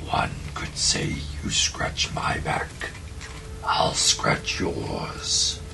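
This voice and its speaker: A man's put-on character voice, whispering at a very slow pace over loud background noise. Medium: actual play. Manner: imperious, curt, menacing.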